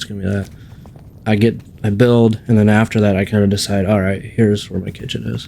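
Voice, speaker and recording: The speaker mumbles at a very fast pace, with monotone, flat intonation throughout. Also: man. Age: 40s. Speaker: gaming YouTuber. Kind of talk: gameplay tutorial. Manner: mumbling; casual, rambling commentary.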